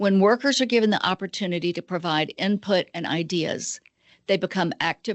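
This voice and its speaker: A woman's fairly low voice with an American accent, a plain, everyday voice at a moderate pace with ordinary pitch variation. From Georgia, US. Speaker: nonprofit executive director. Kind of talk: webinar presentation. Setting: video webinar.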